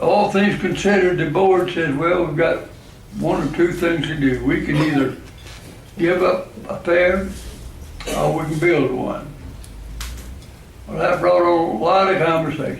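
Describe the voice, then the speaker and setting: A man with a Southern US accent and a high pitch speaks with fairly even intonation and long, frequent pauses, amid audible room echo and noticeable background noise. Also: fairly slow pace. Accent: Southern US (Georgia). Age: 80s+. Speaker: club member. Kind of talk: after-dinner talk.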